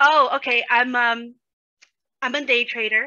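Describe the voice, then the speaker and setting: Her high voice moves at a moderate pace as the woman keeps a fairly even intonation. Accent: American. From New York, the Bronx. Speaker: day trader, community member. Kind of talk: casual interview chat.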